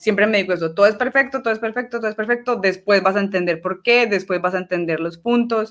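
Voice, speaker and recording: Moving at a very fast pace with hardly any pauses, a woman speaks at medium pitch with ordinary pitch variation. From Colombia, Medellín (Antioquia). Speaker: archer. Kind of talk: casual interview.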